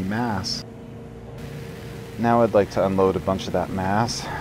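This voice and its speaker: The man's fairly low voice has a relaxed tone and ordinary pitch variation. Noticeable background noise can be heard. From Canada. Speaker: game streamer. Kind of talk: live gameplay stream commentary. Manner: speaking quietly; casual, relaxed.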